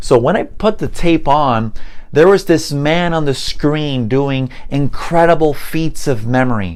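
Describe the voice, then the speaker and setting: A fairly slow delivery in a Spanish accent. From Puerto Rico. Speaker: mentalist and memory expert teaching languages. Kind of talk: online course introduction.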